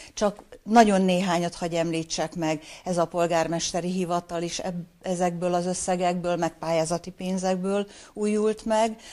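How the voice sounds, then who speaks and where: Speaking at a fairly slow pace, a woman uses a fairly low pitch and a dark, mellow tone with monotone, flat intonation. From northeastern Hungary. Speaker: retired mayor and former teacher; former mayor. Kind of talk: interview. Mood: calm, friendly. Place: office.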